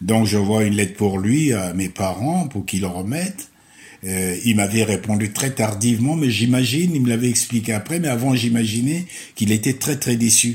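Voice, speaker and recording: Somewhat breathy and lively in intonation, a man of medium pitch speaks at a moderate pace. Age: 70s. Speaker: retiree. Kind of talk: interview. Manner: halting.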